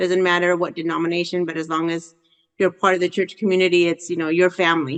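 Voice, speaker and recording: A woman speaks with a fairly low pitch. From El Salvador, raised in Southern California from age 7. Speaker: education advocate. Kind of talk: interview. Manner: halting, with many fillers.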